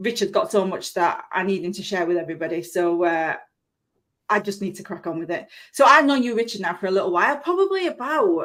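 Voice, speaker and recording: With a Yorkshire accent, a woman at medium pitch talks at a fairly quick pace, her voice making very wide pitch swings and big swings in loudness. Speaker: live stream show host. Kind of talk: live stream interview. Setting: live stream video. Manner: chatty, fast.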